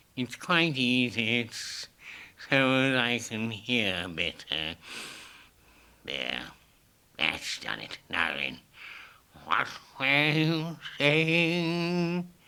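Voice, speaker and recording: Putting on a character voice, a man of medium pitch speaks at a very slow pace with long, frequent pauses. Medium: read story. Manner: slow, gloomy, dry.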